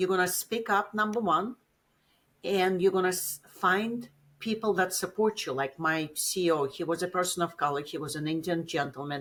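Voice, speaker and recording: A woman's medium-pitched voice with a Russian accent. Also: ordinary pitch variation, moderate pace. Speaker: business executive. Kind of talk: interview.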